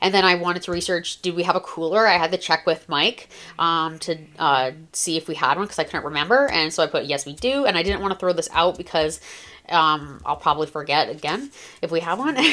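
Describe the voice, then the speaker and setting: In a very clean recording with a silent background, a woman talks at a fairly quick pace with fairly low pitch, a bright, sharp tone and ordinary pitch variation. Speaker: planner content creator. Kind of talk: casual show-and-tell tutorial. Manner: fast; animated.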